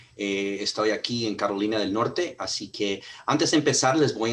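The man has an ordinary speaking voice with fairly low pitch. He talks at a moderate pace. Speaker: sales director. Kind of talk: webinar introduction. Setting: video call. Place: home room. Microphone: video call.

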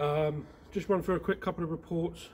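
Speech comes at a moderate pace over light background noise. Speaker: paranormal investigator host. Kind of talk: casual vlog chat. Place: street. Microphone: camera far.

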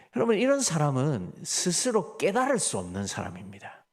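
Very wide pitch swings and vocal fry mark a man's fairly slow speech in a very clean recording with a silent background. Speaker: pastor. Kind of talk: sermon.

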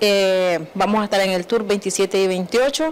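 Medium in pitch with ordinary pitch variation, the woman has an ordinary speaking voice. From Nicaragua. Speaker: small food business owner. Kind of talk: TV interview. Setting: TV studio. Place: studio. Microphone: handheld.

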